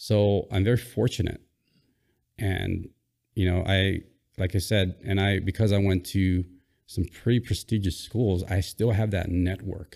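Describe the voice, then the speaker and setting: A man speaks slowly in a dark, mellow tone at a fairly low pitch, flat and monotone, with very even loudness and long, frequent pauses. The recording is very clean, with a silent background. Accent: Hawaiian. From Hawaii, Oahu. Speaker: former Navy SEAL. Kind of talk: casual interview.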